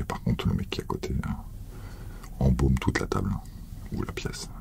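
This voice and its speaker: A man whispers over noticeable background noise. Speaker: ASMR creator. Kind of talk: casual talk to camera.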